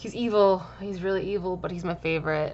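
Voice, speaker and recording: Mumbling with fairly even intonation. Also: woman. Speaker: gaming YouTuber. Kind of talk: game commentary voiceover. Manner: fast.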